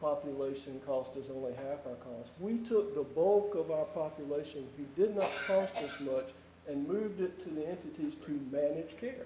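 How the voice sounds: A man at a fairly high pitch and moderate pace, dark and mellow in tone, with ordinary pitch variation and audible room echo.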